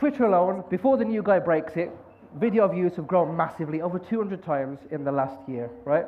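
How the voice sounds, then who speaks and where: At a fairly quick pace, a man with a Birmingham accent speaks at a high pitch for a man. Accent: Birmingham-area English. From West Midlands, England (near Birmingham). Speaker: conference speaker, podcaster. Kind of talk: conference talk. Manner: fast.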